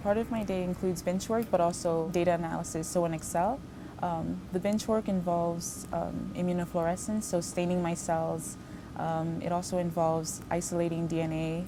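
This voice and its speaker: A woman's voice at a moderate pace, fairly even in intonation, with audible room echo. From Haiti, moved to US at about 8. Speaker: postbaccalaureate research fellow. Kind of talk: interview monologue. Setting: laboratory.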